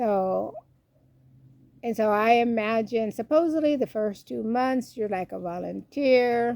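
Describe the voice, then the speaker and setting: Dark, mellow tone with lively intonation at a fairly slow pace. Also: woman. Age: 60s. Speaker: YouTuber, retired expat. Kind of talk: self-interview monologue. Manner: casual, hesitant with fillers.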